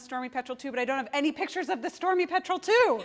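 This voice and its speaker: A woman talks loudly with ordinary pitch variation. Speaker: marine biologist giving a talk; seabird guide giving a talk. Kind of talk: presentation. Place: meeting room. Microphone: lapel.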